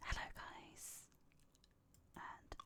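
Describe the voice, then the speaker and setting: A woman is whispering. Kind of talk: ASMR gaming video, casual talk. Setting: close microphone, home recording. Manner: whispered.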